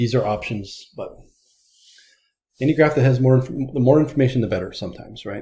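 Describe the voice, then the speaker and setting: In a room with audible echo, a man with a dark, mellow, somewhat breathy tone at medium pitch talks at a very fast pace with long, frequent pauses, ordinary pitch variation and big swings in loudness. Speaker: statistics teacher. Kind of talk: recorded lecture.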